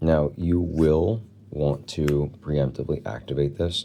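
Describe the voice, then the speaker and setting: The man's voice is very deep and low, with a dark, mellow tone. His pitch varies in an ordinary way. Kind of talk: gameplay combo walkthrough. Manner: casual.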